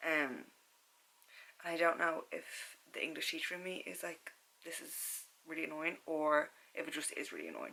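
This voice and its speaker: A woman speaks with a Dublin accent at a moderate pace. Her loudness swings widely, and she leaves long, frequent pauses. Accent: Irish (Dublin). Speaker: book vlogger and secondary school teacher. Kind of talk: casual vlog chat. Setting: at home, bedroom at night. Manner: filler-heavy casual; soft-spoken, lowered voice. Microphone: camera's built-in audio, no external mic.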